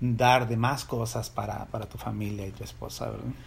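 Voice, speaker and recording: Recorded with audible room echo, a man talks at a moderate pace in a somewhat breathy voice. His medium pitch stays monotone and flat. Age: 40s. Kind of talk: casual faith-based chat. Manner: halting, frequent repetitions.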